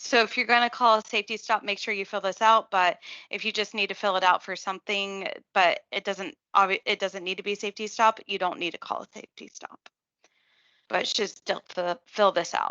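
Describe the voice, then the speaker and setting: Against a quiet background, a woman with a medium pitch and a bright, sharp tone speaks at a fairly quick pace with fairly even intonation. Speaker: clinical nurse educator. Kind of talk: staff training tutorial. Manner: hesitant, many fillers.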